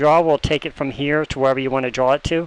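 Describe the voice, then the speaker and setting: With fairly even intonation, a man talks at a fairly quick pace against noticeable background noise. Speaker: programming tutorial maker. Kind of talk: screen-recorded coding tutorial. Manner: fast; casual, thinking aloud.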